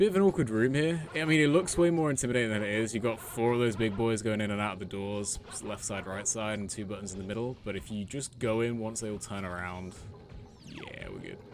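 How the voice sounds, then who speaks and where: A man speaks with a British accent at a very fast pace. His voice is fairly low, with ordinary pitch variation. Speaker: gaming streamer. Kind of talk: live gameplay commentary. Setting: live stream at home. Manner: casual, chatty.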